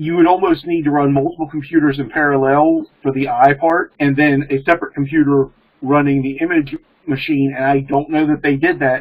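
Against a quiet background, a man with an American accent speaks at a fairly quick pace in a fairly high voice with monotone, flat intonation. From Maryland, US. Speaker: programmer and pagan practitioner; panelist. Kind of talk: casual discussion. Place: home room. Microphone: webcam.

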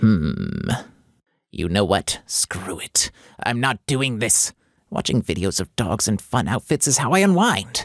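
A man puts on a character voice and speaks at a fairly slow pace. The recording is very clean, the background silent. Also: medium pitch for a man. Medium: dub.

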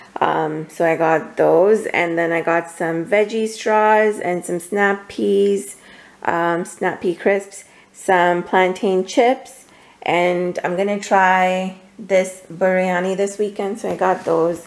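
Slow, fairly even delivery with vocal fry. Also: woman, fairly low pitch for a woman, few pauses.

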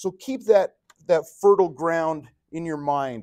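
Speaking at a moderate pace, a man is heard with a quiet background. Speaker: religion teacher. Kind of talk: lecture. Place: classroom.

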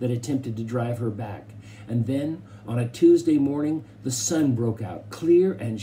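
The reading voice is unforced, and the intonation stays lively throughout.

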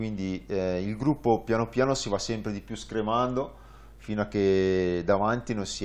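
With an unremarkable speaking voice, a man talks at a fairly slow pace, his pitch fairly low and his intonation fairly even. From northern Italy, Varese; northern Italy. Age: 30s. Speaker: tandem cycling pilot; guest. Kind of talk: interview. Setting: studio. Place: studio. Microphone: lapel.

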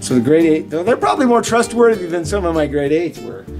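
A man talks while clear music sounds in the background. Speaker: teacher. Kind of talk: casual vlog chat. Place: classroom. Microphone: phone near.

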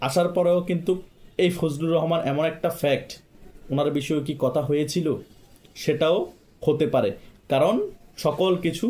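A man's voice with a dark, mellow tone. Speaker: political commentary YouTuber. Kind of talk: political monologue. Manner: impassioned.

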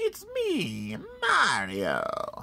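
A put-on character voice comes through over light background noise. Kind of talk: playful character voice during toy review. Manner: cartoonish impression.

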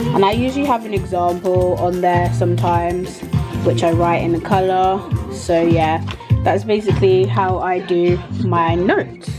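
Over clear music in the background, a woman speaks at a moderate pace. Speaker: events management student. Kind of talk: study-tips explanation. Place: home room. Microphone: phone near.

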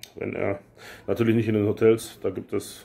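There's a dark, mellow tone to this man's voice as he speaks at a fairly quick pace. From Lower Saxony, Germany. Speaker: YouTuber / expat vlogger; YouTuber, expat vlogger. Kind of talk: casual vlog Q&A. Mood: relaxed storytelling, some irritation. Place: home room. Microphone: phone near.

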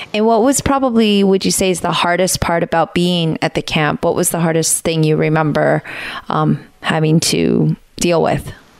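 Over noticeable background noise, a woman talks with fairly low pitch, ordinary pitch variation and very even loudness. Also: moderate pace. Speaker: podcast host. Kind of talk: interview question.

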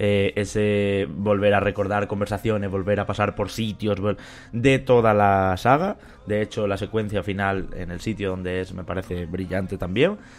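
Speaking at a moderate pace with fairly even intonation, a man with fairly low pitch has an unremarkable speaking voice. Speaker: podcast host. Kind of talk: casual chat.

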